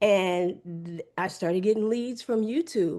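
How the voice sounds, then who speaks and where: Using a normal speaking voice, the speaker moves at a fairly slow pace with lively intonation. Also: woman. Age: 60s. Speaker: real estate agent and attorney. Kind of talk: interview.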